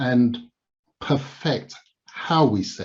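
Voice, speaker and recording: In a Yoruba accent, a man speaks very slowly in a somewhat breathy voice, with audible room echo around him. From Nigeria (Lagos), then England from age seven. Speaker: public speaker and commentator. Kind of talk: Q&A answers at a conference.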